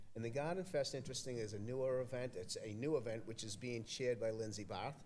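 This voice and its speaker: Someone with an American accent speaks at a fairly quick pace with ordinary pitch variation, and audible room echo is present. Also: man. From Massachusetts, Everett (Boston area). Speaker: community event organizer, board member. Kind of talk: casual interview chat. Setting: podcast studio at an arts festival, live stream. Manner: halting, many fillers.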